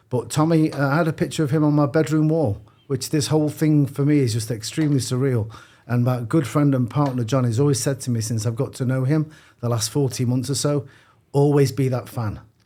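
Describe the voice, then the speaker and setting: A man speaks in a Manchester accent at a medium pitch and a fairly quick pace. His tone is dark and mellow, his intonation fairly even. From northern England, Manchester. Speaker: boxing gym CEO. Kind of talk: podcast interview. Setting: studio with headphones.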